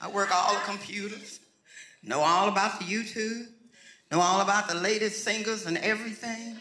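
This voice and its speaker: A man's high-pitched, raised and projected voice at a moderate pace, ordinary pitch variation, with noticeable background noise. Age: 70s. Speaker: pastor. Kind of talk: sermon. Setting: church with congregation. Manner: animated.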